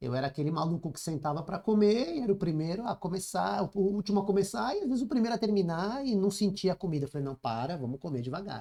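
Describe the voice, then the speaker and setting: Hardly pausing at all, a man speaks at a very fast pace. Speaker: leadership mentor and author. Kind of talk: podcast interview.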